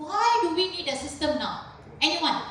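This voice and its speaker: Loud speech with audible room echo and noticeable background noise. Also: woman. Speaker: university lecturer. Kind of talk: lecture.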